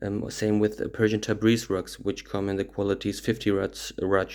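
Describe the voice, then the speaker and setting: A man speaks with a German accent at a moderate pace. His pitch is fairly low and his intonation is monotone and flat. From Germany. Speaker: rug dealer. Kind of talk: tutorial. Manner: halting, many fillers.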